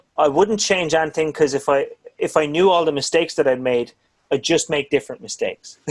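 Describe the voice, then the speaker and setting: Here is an ordinary speaking voice. It moves at a fairly quick pace with ordinary pitch variation. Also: man. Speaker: drum channel interviewer. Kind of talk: casual interview chat.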